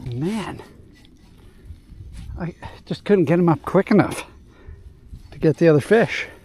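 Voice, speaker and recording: A man with a high pitch and ordinary pitch variation speaks in an excited tone at a fairly slow pace, with long, frequent pauses. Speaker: fishing video host. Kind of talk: casual vlog commentary while fishing. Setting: outdoors on a boat. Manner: excited exclamations; quiet, hushed.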